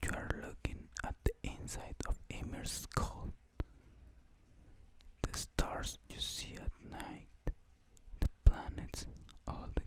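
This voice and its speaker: Whispering at a very slow pace. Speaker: ASMR reader / content creator. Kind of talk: ASMR mythology story reading. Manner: whispered, soft-spoken.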